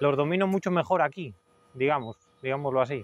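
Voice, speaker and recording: A man's voice with ordinary pitch variation and a dry sound with no echo. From Spain, Cantabria (Suances); Cantabria, Spain. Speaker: hoof trimmer. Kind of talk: interview testimonial. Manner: hesitant, many fillers. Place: farm machine.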